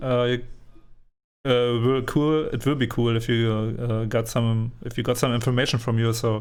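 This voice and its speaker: Speaking with a non-native accent, a man talks at a moderate pace in a medium pitch with monotone, flat intonation. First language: not English. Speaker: community gaming podcaster. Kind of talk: interview. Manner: halting.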